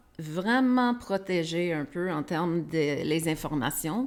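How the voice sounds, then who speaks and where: A woman speaks at a fairly low pitch with ordinary pitch variation. The recording is very clean, with a silent background. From Quebec. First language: English (speaking French). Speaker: podcast host. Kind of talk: interview. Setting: live stream. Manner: halting, many repetitions.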